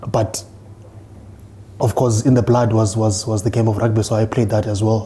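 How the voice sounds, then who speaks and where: A man talks at a moderate pace and a medium pitch, his intonation monotone and flat. Noticeable background noise is present. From South Africa, Eastern Cape (Mthatha). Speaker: rugby coach and player. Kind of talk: interview. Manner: halting, many fillers and repetitions.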